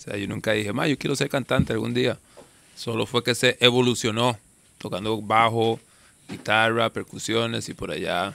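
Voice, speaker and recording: The voice has a bright, sharp tone and fairly even intonation, with a dry sound and no echo. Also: man, medium pitch for a man, moderate pace. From Costa Rica, Calle Blancos (San José area); Costa Rica. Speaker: reggae singer; podcast guest. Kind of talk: casual interview. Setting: outdoors in the jungle. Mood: relaxed, reflective. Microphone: studio mic.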